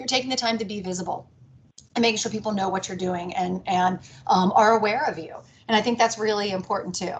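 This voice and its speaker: Talking at a very fast pace, a woman with an American accent keeps her intonation fairly even. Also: medium pitch for a woman. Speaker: business executive. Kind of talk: talk to a networking group.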